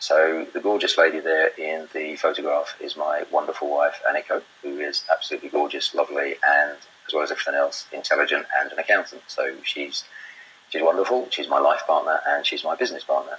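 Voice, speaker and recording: With a British accent, a man speaks at a fairly quick pace against noticeable background noise. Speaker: property investor and webinar presenter. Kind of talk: webinar presentation. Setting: live webinar broadcast. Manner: loud.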